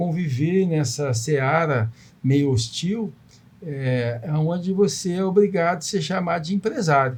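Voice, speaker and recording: An unremarkable speaking voice from a man, fairly high in pitch, with lively intonation at a fairly slow pace. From Brazil, Volta Redonda (Rio de Janeiro state). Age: 60s. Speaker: businessman. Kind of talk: podcast interview.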